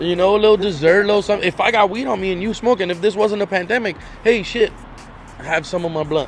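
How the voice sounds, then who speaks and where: A man talks loudly and very fast in a high voice, with an animated tone. Music plays in the background. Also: ordinary pitch variation. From Inglewood, Los Angeles, California. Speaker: guest. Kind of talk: casual chat.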